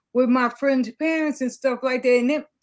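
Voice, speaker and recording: A woman speaks with a New York accent, high-pitched and with ordinary pitch variation. The recording is very clean, with a silent background. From New York City. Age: 60s. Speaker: community social worker. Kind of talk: interview storytelling.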